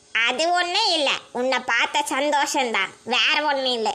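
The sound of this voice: A woman's cartoonish character voice, high-pitched, with lively intonation and a fairly slow pace.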